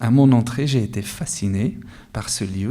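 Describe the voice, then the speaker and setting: His tone is dark and mellow. The man keeps to a moderate pace. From Afghanistan. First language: Dari or Pashto (Afghan language) (speaking French). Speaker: author, award winner. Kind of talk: interview at award ceremony. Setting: award ceremony with audience.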